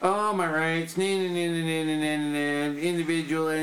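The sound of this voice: A man's whiny put-on character voice at a fairly high pitch, over clear background noise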